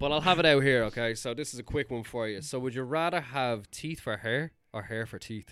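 In an Irish accent, a man talks at a fairly quick pace with hardly any pauses. His medium pitch has ordinary variation, and the recording is very clean with a silent background. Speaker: podcast co-host. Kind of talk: casual chat.

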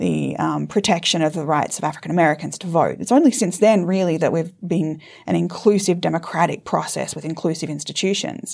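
Speaking at a fairly quick pace, a woman with an Australian accent has a fairly low pitch and vocal fry. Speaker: law professor. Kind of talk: interview discussion.

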